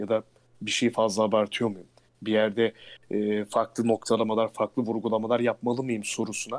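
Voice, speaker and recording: The man's medium-pitched voice sounds dry and close, with no echo. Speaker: announcer and voice actor. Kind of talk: casual interview.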